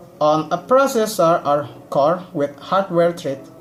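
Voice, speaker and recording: Speaking at a very slow pace with an Indonesian accent, the voice comes over noticeable background noise. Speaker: student. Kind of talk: class presentation. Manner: halting.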